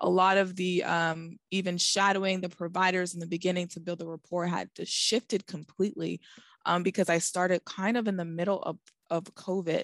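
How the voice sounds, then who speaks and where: With an American accent, a woman speaks at a medium pitch and a fairly quick pace in a monotone, flat way, the sound dry and close with no echo over a quiet background. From Boston. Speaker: oncology pharmacist. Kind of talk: interview.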